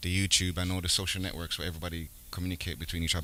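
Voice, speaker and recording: A man with an American accent speaks with a very deep, low pitch. His tone is bright and sharp. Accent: American accent more than British. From Jamaica and Brooklyn, US. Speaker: rapper, musician. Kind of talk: interview.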